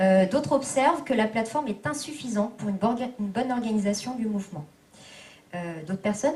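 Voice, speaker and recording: A woman's fairly high voice with audible room echo. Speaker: activist rapporteur summarizing group work. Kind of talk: meeting summary report. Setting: public meeting hall. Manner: fast; hesitant, many fillers.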